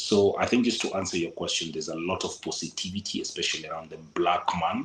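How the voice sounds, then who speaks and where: A man with a Kenyan accent at a very fast pace. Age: 40s. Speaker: local advisor on Kenya travel. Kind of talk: interview.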